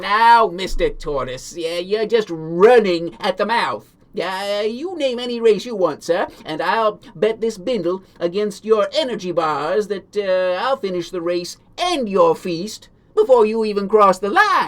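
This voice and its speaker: A man speaks in a put-on character voice at a high pitch. His pace is fairly slow. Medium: read story. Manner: folksy, hesitant "uh" fillers.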